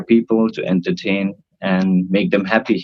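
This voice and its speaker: Speaking with a Nepali accent, a man talks at a fairly slow pace with fairly low pitch. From northern India, near Nepal. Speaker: cruise ship band singer. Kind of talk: casual interview. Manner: hesitant, many fillers. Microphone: unstable Wi-Fi connection.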